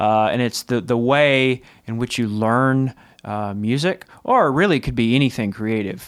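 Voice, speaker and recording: A man talks in a plain, everyday voice at medium pitch with ordinary pitch variation. The recording is very clean, with a silent background. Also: moderate pace. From Texas. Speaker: music licensing company co-founder. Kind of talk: casual interview chat. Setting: studio.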